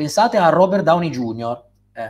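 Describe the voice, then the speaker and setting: His pitch rises and falls in very wide swings. The speaker is a man. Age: 30s. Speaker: writer and philosopher; guest. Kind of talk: interview. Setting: live stream. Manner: hesitant, with repeated words and fillers.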